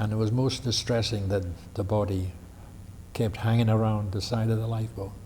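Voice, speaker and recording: An American-accented man speaks in a dark, mellow, somewhat breathy voice, fairly low in pitch and flat in a monotone, at a fairly quick pace broken by long, frequent pauses. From New Jersey, USA. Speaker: World War II veteran. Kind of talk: oral history interview answer. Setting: library.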